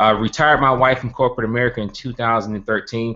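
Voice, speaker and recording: Here a man speaks with a Southern US accent. His pace is fairly quick. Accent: country Southern. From US South, Birmingham, Alabama. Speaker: network marketing entrepreneur, organization founder. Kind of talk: webinar presentation. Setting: live online stream with screen share.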